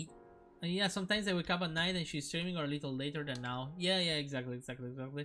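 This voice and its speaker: A man with a non-native accent speaks at a very fast pace in a fairly high pitch with ordinary pitch variation. Music plays in the background. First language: not English. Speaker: streamer. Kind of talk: casual live-stream chat. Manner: halting, many repetitions and restarts.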